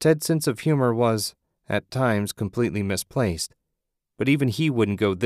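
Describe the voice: A quiet background under plain reading aloud.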